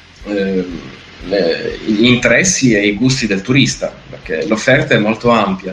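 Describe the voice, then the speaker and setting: A man speaks at a fairly slow pace and a medium pitch, with noticeable background noise. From northeastern Italy, Gorizia. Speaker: regional tourism ambassador. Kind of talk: interview. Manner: halting, many fillers.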